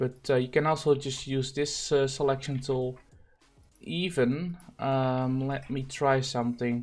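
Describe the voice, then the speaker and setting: The speaker has a non-native accent. The delivery is fairly slow. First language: not English. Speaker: gaming streamer and thumbnail designer. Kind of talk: tutorial. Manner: halting, many fillers.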